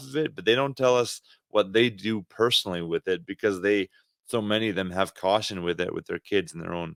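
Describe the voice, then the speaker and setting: A man with a Canadian accent and an ordinary speaking voice talks at a fairly quick pace with lively intonation, in a very clean recording with a silent background and a dry, close sound with no echo. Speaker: podcast co-host, ministry leader. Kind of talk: casual chat.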